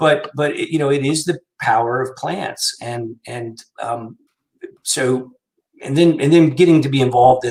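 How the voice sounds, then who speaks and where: Somewhat breathy male speech with ordinary pitch variation. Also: moderate pace. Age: 60s. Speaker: physician, medical center director. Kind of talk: interview. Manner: halting, many fillers.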